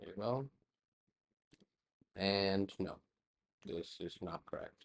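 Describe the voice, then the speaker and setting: Speaking at a very slow pace, this man has a fairly low pitch. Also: ordinary pitch variation. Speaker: coding YouTuber. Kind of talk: coding tutorial. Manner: thinking aloud.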